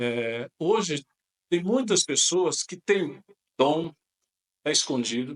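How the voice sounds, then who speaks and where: The sound is dry and close, with no echo. The speaker uses lively intonation at a fairly slow pace. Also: man. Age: 60s. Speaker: pastor. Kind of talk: podcast interview. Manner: halting.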